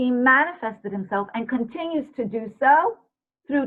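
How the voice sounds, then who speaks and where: A woman speaks in a high voice with lively intonation. Her pace is moderate. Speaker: guest speaker. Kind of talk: lecture.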